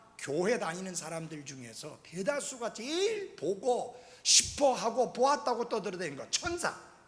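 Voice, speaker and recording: Amid noticeable background noise and audible room echo, a high-pitched man with an animated tone speaks at a fairly slow pace with hardly any pauses, making very wide pitch swings and big swings in loudness. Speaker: pastor. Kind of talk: sermon.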